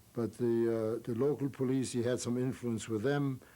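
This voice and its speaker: A man with a German accent, medium pitch, a dark, mellow tone, fairly even intonation and a moderate pace. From Germany. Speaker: Holocaust survivor. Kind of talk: interview answer.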